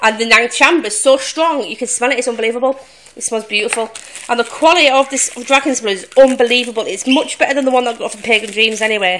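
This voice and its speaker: Over light background noise, a woman with a high pitch and ordinary pitch variation talks at a very fast pace, with big swings in loudness. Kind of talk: casual vlog chat. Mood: happy, grateful. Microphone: phone near.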